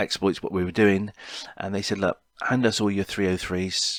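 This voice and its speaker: On a very clean recording with a silent background and a dry, close sound with no echo, a man speaks at a very deep, low pitch with monotone, flat intonation. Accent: Cornish. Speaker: podcaster. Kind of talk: personal storytelling podcast. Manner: halting, many fillers.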